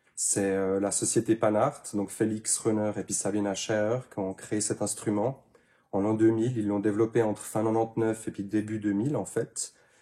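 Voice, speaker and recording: In a very clean recording with a silent background, a man with a dark, mellow tone and fairly low pitch speaks at a moderate pace with monotone, flat intonation. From Switzerland, canton of Neuchâtel. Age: 30s. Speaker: handpan maker. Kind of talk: interview. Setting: workshop. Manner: hesitant, many fillers.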